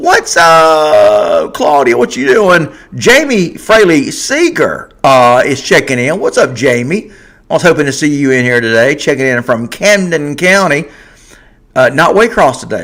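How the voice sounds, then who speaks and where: A man speaks with a Southern US accent at a fairly slow pace. His pitch is fairly high and his intonation lively. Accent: Southern US (Georgia). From Georgia, US South. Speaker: sports podcast host. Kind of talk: live stream sports talk show. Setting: live stream. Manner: casual, conversational.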